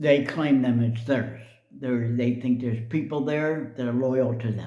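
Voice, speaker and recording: A man's monotone, flat delivery with audible room echo. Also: medium pitch for a man, fairly slow pace. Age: 70s. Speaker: video blogger. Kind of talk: personal commentary monologue. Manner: casual, hesitant with fillers.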